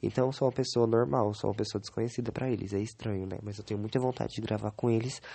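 Speaking at a very fast pace with hardly any pauses, a man keeps a medium pitch and fairly even intonation. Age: 20s. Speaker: podcaster. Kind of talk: solo diary podcast. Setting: bedroom. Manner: halting.

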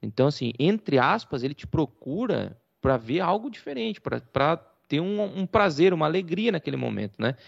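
Showing vocal fry and very wide pitch swings, a man speaks with a fairly high pitch. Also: moderate pace. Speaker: podcast co-host. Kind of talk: casual chat.

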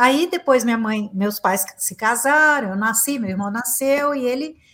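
The recording is very clean with a silent background. A woman with a high pitch speaks at a moderate pace with lively intonation and hardly any pauses. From Brazil, Minas Gerais (Uberaba). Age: 50s. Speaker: psychotherapist and motivational speaker. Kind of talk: interview conversation.

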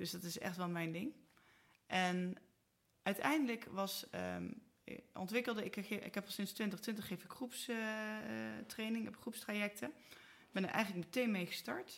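A woman with a plain, everyday voice speaks at a fairly slow pace, her medium pitch showing ordinary variation. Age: 40s. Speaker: marketing entrepreneur. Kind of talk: casual interview. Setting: studio, at a table.

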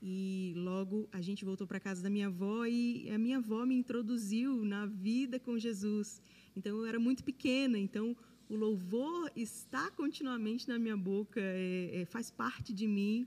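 A woman speaks at a fairly high pitch and moderate pace with ordinary pitch variation. Her voice is somewhat breathy, with a dark, mellow tone. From Brasília, Brazil. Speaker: worship singer. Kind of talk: testimony.

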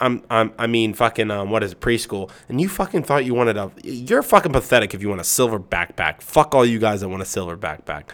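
A man talks at a very fast pace with hardly any pauses. His medium-pitched voice carries lively intonation. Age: 20s. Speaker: podcast host. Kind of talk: casual chat.

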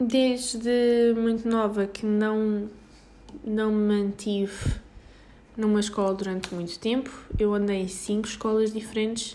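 With a European Portuguese accent, a woman speaks fairly slowly at a fairly high pitch in a monotone, flat intonation, with noticeable background noise behind her. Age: 20s. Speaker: podcaster. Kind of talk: casual monologue. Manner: halting.

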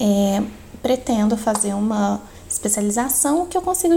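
Lively in intonation, a woman talks against noticeable background noise. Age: 20s. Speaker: biology student and lab technician, podcast co-host. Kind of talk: podcast interview.

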